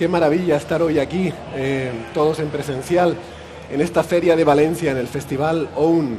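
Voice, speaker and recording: Room echo and noticeable background noise surround a man's voice. He speaks at a moderate pace with fairly even intonation. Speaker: podcast host. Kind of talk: live podcast recording. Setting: stage with live audience at a festival.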